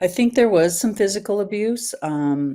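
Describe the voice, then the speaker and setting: The woman speaks at a very slow pace. Her pitch shows ordinary variation. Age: 60s. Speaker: podcast guest, business owner. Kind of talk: personal interview.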